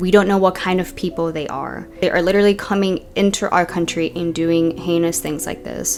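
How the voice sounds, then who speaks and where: A fairly low-pitched woman at a moderate pace with fairly even intonation, with music in the background. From US, Georgia area (born Venezuela, moved at two). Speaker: true crime storyteller. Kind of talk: true crime narration; personal opinion commentary. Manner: impassioned ranting.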